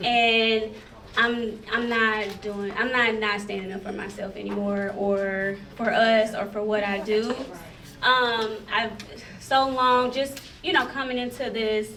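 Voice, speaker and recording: Amid audible room echo, a woman speaks very slowly in a fairly high pitch with fairly even intonation. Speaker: festival founder, panelist. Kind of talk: panel discussion.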